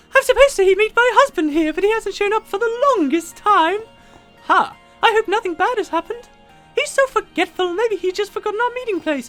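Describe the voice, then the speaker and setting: A put-on character voice at an extremely high pitch moves at a fairly quick pace, with faint music in the background. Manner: worried, concerned.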